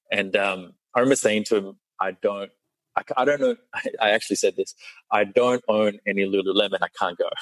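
A man is speaking with an Australian accent. He talks at a fairly quick pace. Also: dry, close sound with no echo. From Australia, born in Sri Lanka. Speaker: meditation teacher. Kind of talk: casual interview chat.

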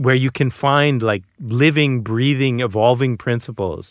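This man has an unremarkable speaking voice with an American accent, a medium pitch and ordinary pitch variation. He talks at a moderate pace, and the sound is dry and close with no echo on a very clean recording with a silent background. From Boston, US. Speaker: author. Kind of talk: casual chat.

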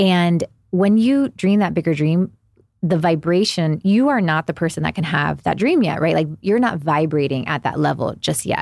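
A woman has a plain, everyday voice at a fairly low pitch, with lively intonation and very even loudness. She speaks at a moderate pace on a very clean recording with a silent background. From Miami, Florida (Cuban-American family). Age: 40s. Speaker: psychic medium and spiritual mentor. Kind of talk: casual interview.

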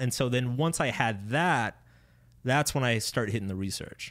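The recording is very clean, with a silent background. A man talks at a moderate pace and medium pitch with ordinary pitch variation. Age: 30s. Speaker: author. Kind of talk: interview. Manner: casual.

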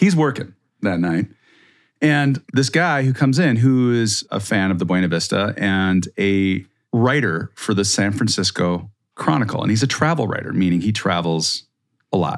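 In an unremarkable speaking voice with an American accent, a man of fairly low pitch talks at a moderate pace with lively intonation. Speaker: podcast host. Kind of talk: casual chat.

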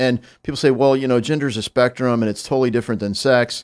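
A man with a Midwestern American accent, medium pitch and a fairly quick pace, on a very clean recording with a silent background. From US Midwest. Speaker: congressman. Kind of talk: casual chat. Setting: studio.

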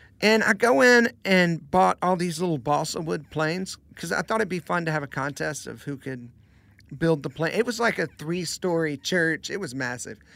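In a very clean recording with a silent background, a man speaks with an American accent at a moderate pace. His voice is high-pitched with a bright, sharp tone and lively intonation. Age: 30s. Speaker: worship pastor and singer-songwriter. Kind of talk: casual chat.

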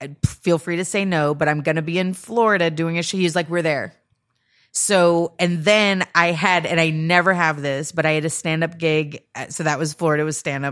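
An unremarkable speaking voice from a woman, fairly low in pitch and fairly quick, with fairly even intonation, in a very clean recording with a silent background. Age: 40s. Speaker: comedian. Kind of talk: casual chat.

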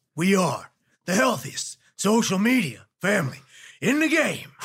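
A raspy put-on character voice at a middle pitch swings very widely up and down while moving at a moderate pace.

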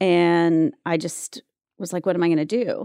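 A woman with an American accent, a dark, mellow tone, fairly low pitch and fairly even intonation, in a dry, close sound with no echo. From US South, North Carolina (Wilmington). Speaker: actress and talent manager. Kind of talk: casual chat.

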